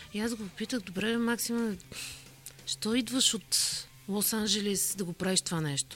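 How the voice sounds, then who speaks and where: Against noticeable background noise, the speaker talks at a moderate pace with long, frequent pauses. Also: woman, fairly high pitch for a woman, ordinary pitch variation. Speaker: corporate communications director. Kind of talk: interview.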